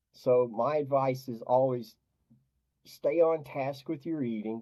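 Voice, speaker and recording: An unremarkable speaking voice belongs to a man of medium pitch. He goes at a fairly slow pace with ordinary pitch variation. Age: 60s. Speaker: diet coach for depression. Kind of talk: interview.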